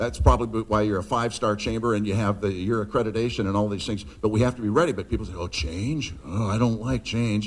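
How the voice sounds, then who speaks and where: Speaking at a very fast pace with hardly any pauses, a man with an American accent uses a fairly low pitch, ordinary pitch variation, and vocal fry. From US Pacific Northwest. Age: 60s. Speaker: motivational speaker. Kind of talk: speech to a live audience. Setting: stage with audience. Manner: animated.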